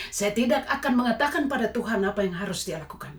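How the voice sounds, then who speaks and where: With noticeable background noise behind her, a woman speaks in a Papuan accent at a medium pitch, her voice swinging very widely in pitch. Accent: Papuan Indonesian. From Papua, Indonesia. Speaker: lay evangelist giving testimony. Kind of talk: testimony. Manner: preachy exhortation.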